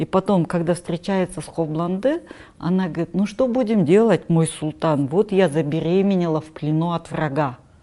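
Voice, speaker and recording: The pace is moderate. This woman's pitch shows ordinary variation. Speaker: culturologist and writer. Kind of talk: interview conversation.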